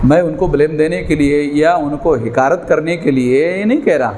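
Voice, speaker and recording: Ordinary pitch variation, with audible room echo and noticeable background noise. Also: man. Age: 60s. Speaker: political activist. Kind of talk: political speech.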